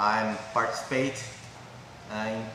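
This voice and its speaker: There's audible room echo and noticeable background noise as a man talks with a Portuguese accent. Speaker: martial arts and strength coach. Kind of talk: casual interview chat. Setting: martial arts gym. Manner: halting.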